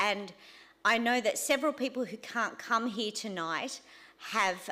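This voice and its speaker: This woman talks loudly at a fairly slow pace, her fairly high pitch showing ordinary pitch variation. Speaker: church teacher leading a course. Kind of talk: teaching session.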